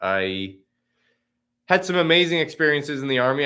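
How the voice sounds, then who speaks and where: A man with an American accent and a bright, sharp tone, on a very clean recording with a silent background. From Oklahoma. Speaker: political candidate. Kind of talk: campaign livestream talk. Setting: video livestream from campaign office. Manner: unscripted, conversational.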